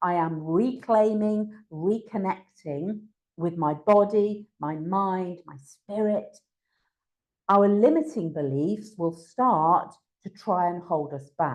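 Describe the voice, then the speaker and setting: The woman's voice sits at a medium pitch. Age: 60s. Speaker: workshop speaker, wellness coach. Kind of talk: online workshop presentation. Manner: casual, hesitant fillers.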